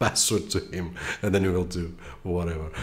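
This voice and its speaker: A man's somewhat breathy voice with a very deep, low pitch. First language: Portuguese. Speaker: tech reviewer. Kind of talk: tutorial. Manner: casual, with filler hesitations.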